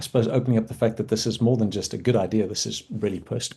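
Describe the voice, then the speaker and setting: Somewhat breathy, a man with medium pitch speaks in a dark, mellow tone. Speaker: doctor and podcast host. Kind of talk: interview.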